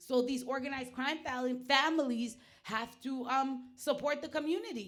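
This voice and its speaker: A loud, animated woman with a high voice and an American accent, at a moderate pace, with audible room echo. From US (Nigerian family). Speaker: performance artist / internet personality. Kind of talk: casual chat.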